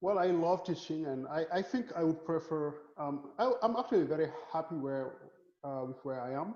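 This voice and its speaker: A man with a Senegalese accent speaks at a moderate pace, fairly high in pitch, with lively intonation. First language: Wolof. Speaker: physics professor. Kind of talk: casual interview. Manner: repeats words often.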